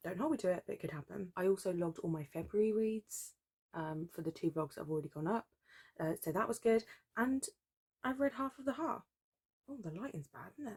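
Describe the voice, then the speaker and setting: Somewhat breathy and at medium pitch, a woman speaks at a fairly quick pace with very wide pitch swings and long, frequent pauses, in a dry, close sound with no echo. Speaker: book vlogger. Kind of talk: casual vlog talk. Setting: at home at night. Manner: quiet, keeping voice down.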